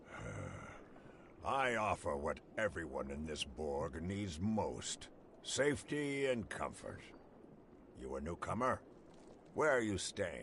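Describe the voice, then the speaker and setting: A man's raspy, fairly low put-on character voice at a fairly slow pace, with clear background noise. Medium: video game. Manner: smooth, ingratiating.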